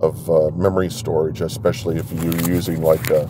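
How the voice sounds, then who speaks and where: The recording of this man sounds dry, with no echo. Noticeable background noise is present. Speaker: driver vlogger. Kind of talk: casual vlog chat. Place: car. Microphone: phone near.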